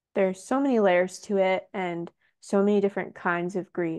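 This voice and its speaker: A soft-spoken woman with a medium-pitched voice and a dark, mellow tone talks at a fairly slow pace with fairly even intonation against a quiet background. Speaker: poet and author. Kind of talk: interview conversation.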